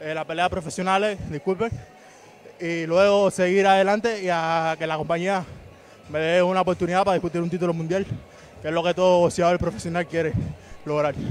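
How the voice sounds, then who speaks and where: A man with a Cuban accent and high pitch speaks at a fairly quick pace with fairly even intonation and long, frequent pauses, in a dry sound with no echo over light background noise. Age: 20s. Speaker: boxer. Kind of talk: post-fight interview. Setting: boxing gym arena. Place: stadium. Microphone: handheld.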